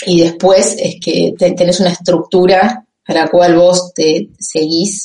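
A woman speaks at a very slow pace with hardly any pauses, in a dark, mellow, somewhat breathy tone. Her fairly low pitch holds a monotone, flat intonation. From Argentina, Campana (Buenos Aires province). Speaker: economist working in finance. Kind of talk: interview. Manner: halting.

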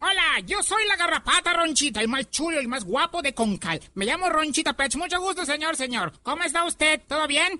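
A high-pitched, put-on character voice at a fairly quick pace. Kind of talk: comic overacting. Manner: cheeky, boastful, chatty.

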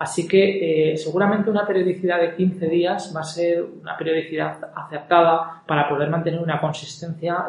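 Noticeable background noise sits behind a man with a fairly high pitch. He talks at a moderate pace in a monotone, flat intonation. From Spain, Zaragoza (Aragon). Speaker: podcast host, entrepreneur. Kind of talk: solo monologue podcast intro. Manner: hesitant with many fillers.

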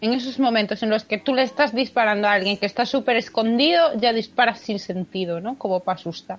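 Hardly any pauses interrupt the fairly quick delivery, which carries ordinary pitch variation. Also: woman, fairly high pitch for a woman. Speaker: podcast co-host. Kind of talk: casual chat. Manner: expressive.

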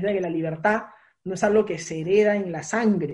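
This is a man talking. His pitch sits high. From Peru. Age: 20s. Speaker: political candidate. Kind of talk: interview.

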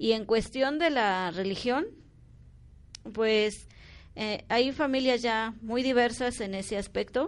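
Against a quiet background, a woman speaks at a very slow pace with long, frequent pauses, using a fairly high pitch and ordinary pitch variation. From Mexico, Oaxaca (Mixe region). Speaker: community centre volunteer. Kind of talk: interview.

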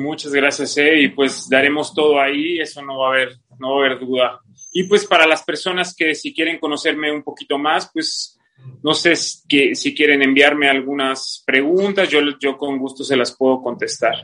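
Bright and sharp in tone, a man's voice sits fairly high in pitch. He keeps a moderate pace and fairly even intonation. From Mexico City, raised in Playa del Carmen from 14. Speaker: CrossFit athlete. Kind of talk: casual interview.

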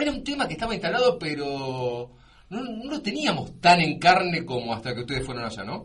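Amid noticeable background noise and audible room echo, a man talks at a fairly quick pace in a fairly high pitch, with very wide pitch swings and big swings in loudness. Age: 40s. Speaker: radio host. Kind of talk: interview. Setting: studio.

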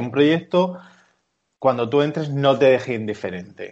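Pitched fairly high, the man talks in an ordinary speaking voice, his pitch varying in an ordinary way. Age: 30s. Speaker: architect, studio co-founder. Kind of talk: interview.

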